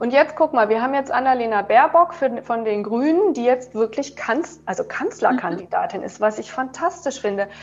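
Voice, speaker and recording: A woman speaks at a moderate pace with a high pitch and lively intonation, hardly pausing at all, over noticeable background noise. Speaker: yoga teacher and author. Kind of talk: interview. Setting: video call.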